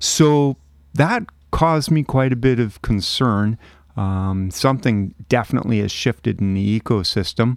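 A man's unremarkable speaking voice at medium pitch, moderate pace and ordinary pitch variation, dry and close with no echo. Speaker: crab monitoring volunteer. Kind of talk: casual interview chat.

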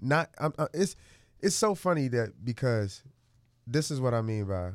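Recorded very cleanly against a silent background, a man with an American accent uses a normal speaking voice at a fairly slow pace with lively intonation. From US Midwest, Chicago. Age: 20s. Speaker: stylist and motivational speaker. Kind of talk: casual interview chat. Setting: studio.

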